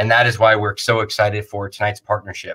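A man at a very fast pace, his tone bright and sharp. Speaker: festival organizer host. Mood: warm, grateful. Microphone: video call.

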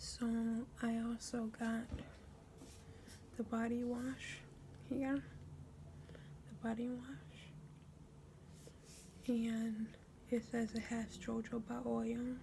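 A soft-spoken woman whispering in a gentle tone at a very slow pace, with long, frequent pauses and light background noise. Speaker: ASMR creator. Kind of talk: ASMR product show-and-tell. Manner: soft, gentle whispering. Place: home room. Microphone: phone near.

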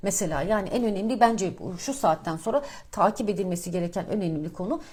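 A woman's somewhat breathy, medium-pitched voice, fairly quick in pace with lively intonation. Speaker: financial markets commentator. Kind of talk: market commentary monologue. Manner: casual, many filler hesitations.

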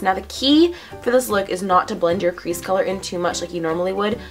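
Faint music plays in the background as a woman speaks with lively intonation. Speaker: beauty vlogger. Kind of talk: makeup tutorial talk to camera. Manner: casual, chatty.

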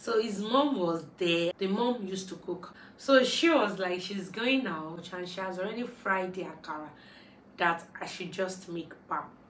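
A woman talks at a moderate pace with ordinary pitch variation, with light background noise and audible room echo. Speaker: vlogger. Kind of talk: casual storytime vlog chat. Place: home room.

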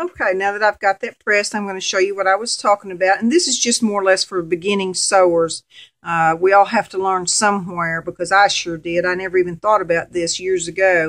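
With a Southern US accent, a woman speaks using fairly even intonation. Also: quiet background. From Arkansas, US. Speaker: sewing volunteer coordinator. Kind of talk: sewing tutorial. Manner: casual, friendly. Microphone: camera far.

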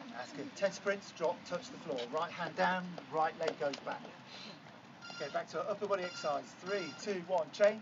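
Noticeable background noise beneath a man's speech, its pitch variation ordinary. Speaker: fitness coach. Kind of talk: workout instruction. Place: beach. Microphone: camera far.

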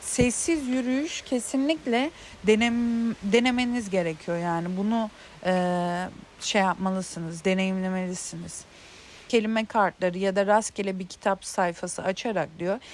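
A woman at medium pitch, fairly slow in pace, with ordinary pitch variation. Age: 30s. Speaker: self-help video creator. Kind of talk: casual monologue on intuition. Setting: outdoors in a garden. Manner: hesitant, many filler sounds.

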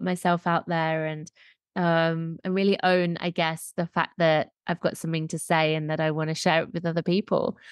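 A woman speaks in an English accent at a moderate pace. Her pitch is fairly low. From England. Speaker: podcast host, menstrual cycle coach. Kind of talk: casual interview chat.

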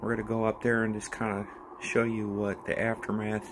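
A man speaks with a fairly low pitch and monotone, flat intonation. There is noticeable background noise. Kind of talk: casual vlog chat. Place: garage. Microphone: phone near.

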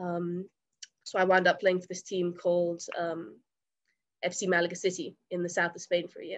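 A woman with an English accent and fairly low pitch, monotone and flat, big swings in loudness, long, frequent pauses, quiet background. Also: moderate pace. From England. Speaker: college soccer player. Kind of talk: interview. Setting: remote call. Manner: halting, many fillers. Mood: friendly, smiling, relaxed. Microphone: webcam.

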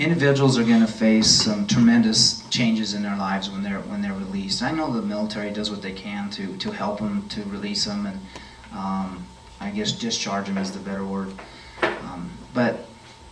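Audible room echo and light background noise surround the voice. Pitch varies in an ordinary way, at a moderate pace. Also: man, fairly low pitch for a man. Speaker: candidate. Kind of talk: interview answer. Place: meeting room.

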